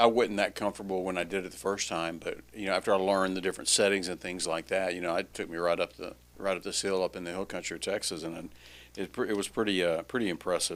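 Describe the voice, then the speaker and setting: Very fast and monotone with flat intonation, this voice has a Louisiana accent and comes on a very clean recording with a silent background. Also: man, very deep, low pitch for a man. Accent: Louisiana Southern US. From Louisiana (Alexandria). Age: 60s. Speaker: podcast host. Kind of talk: casual chat.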